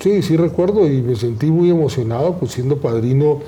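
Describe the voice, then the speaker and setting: A man's speech carries audible room echo, with noticeable background noise in the mix. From Colombia. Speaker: law professor, program director. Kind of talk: formal conversation. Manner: formal.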